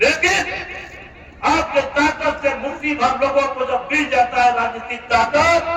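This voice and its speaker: A raised, projected voice with fairly even intonation carries over noticeable background noise. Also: man, extremely high pitch for a man. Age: 70s. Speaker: politician, former legislator. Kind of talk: political speech. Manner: repetitive, rhetorical.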